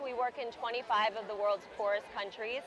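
A woman talks at a fairly quick pace in a dry sound with no echo, over noticeable background noise. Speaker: charity race organizer. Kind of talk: interview. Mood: earnest, informative. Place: open country. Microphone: lapel.

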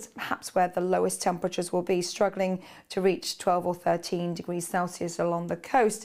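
A woman's medium-pitched, upbeat voice at a moderate pace, with a quiet background. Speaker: weather presenter. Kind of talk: brisk broadcast weather forecast walking viewers across a map. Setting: studio. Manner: fluent, upbeat and conversational, pointing out regions and temperatures. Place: studio. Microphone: lapel.

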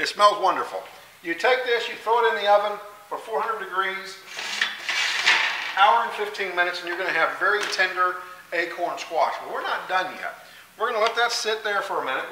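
A man's raised, projected voice comes at a fairly quick pace with fairly even intonation over noticeable background noise. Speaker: home cooking show host. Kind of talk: cooking tutorial. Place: kitchen. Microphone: camera far.

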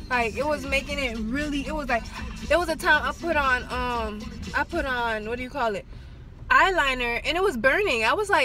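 A woman talks at a fairly quick pace over music in the background. The sound is dry with no echo. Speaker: driver vlogger. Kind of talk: casual vlog chat. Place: car. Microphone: phone near.

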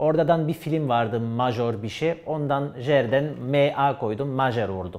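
A man with a French accent talks at a very slow pace, with hardly any pauses and ordinary pitch variation. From France. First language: French (speaking Turkish). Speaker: esports player. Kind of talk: interview answers; interview answer. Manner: halting. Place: studio. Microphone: lapel.

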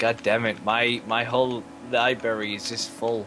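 A man speaks at a medium pitch with an English accent. Noticeable background noise runs behind him. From England. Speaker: gamer. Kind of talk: casual chat.

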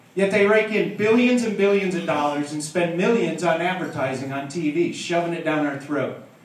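Audible room echo surrounds a man talking at a moderate pace with ordinary pitch variation. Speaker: stand-up comedian. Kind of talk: stand-up comedy routine. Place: stage.

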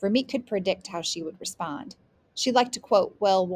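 Nothing but plain reading aloud

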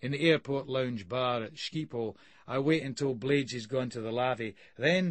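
Pitch varies in an ordinary way throughout this unforced reading voice.

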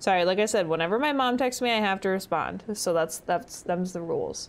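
A woman speaks at a fairly quick pace, her intonation lively. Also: fairly low pitch for a woman.

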